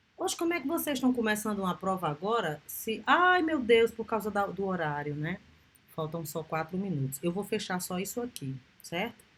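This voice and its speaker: Over noticeable background noise, a woman speaks at a moderate pace from a medium pitch, with very wide pitch swings. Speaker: university lecturer. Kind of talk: lecture.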